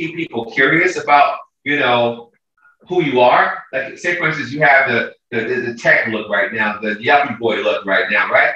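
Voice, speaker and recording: A man's ordinary speaking voice with an American accent, fairly high in pitch, at a moderate pace, with lively intonation. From San Francisco, US. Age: 60s. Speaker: fashion show producer and school teacher. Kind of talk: casual chat.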